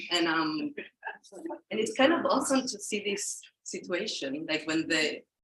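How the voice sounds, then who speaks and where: Speaking at a moderate pace in a Spanish accent, a woman lets her pitch swing very widely. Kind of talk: casual talk to audience. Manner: halting.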